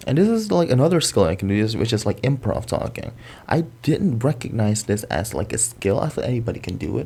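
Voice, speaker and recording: Speaking at a very fast pace, a man with an American accent has a medium pitch and lively intonation. His tone is dark and mellow, with vocal fry. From Indonesia. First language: Indonesian. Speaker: content creator. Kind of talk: casual chat. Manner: animated.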